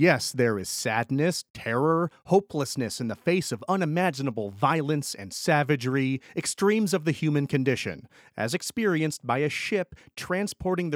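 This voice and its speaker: A man with an American accent and an unremarkable speaking voice, fairly high in pitch, at a moderate pace with lively intonation and hardly any pauses, in a dry, close sound with no echo on a very clean recording with a silent background. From upstate New York (Schenectady). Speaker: podcast host. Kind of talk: solo narrated history podcast.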